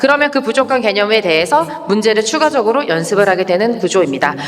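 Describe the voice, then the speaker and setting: A woman speaks at a very fast pace in an animated tone, her pitch swinging very widely. Noticeable background noise runs underneath. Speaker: English academy director presenting curriculum. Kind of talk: information session presentation.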